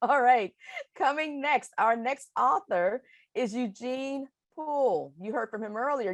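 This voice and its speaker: Lively in intonation and high in pitch, a woman with an American accent speaks at a fairly slow pace, the sound dry and close with no echo and the background quiet. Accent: Alabama, Ohio. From US South (Alabama) / Ohio. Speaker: webinar moderator. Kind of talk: event moderation.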